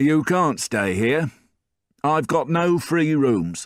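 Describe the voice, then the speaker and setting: A man's put-on character voice, fairly high in pitch, very slow, with lively intonation. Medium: read story. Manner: curt.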